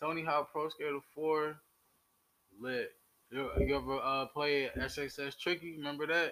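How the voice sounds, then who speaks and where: This man's voice sits fairly high, with a monotone, flat intonation. He talks at a fairly slow pace, with long, frequent pauses. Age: 20s. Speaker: podcast co-host. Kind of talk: casual chat.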